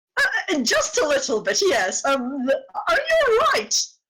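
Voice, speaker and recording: At a fairly slow pace, someone uses a put-on character voice with extremely high pitch. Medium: actual play. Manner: flustered, gentle.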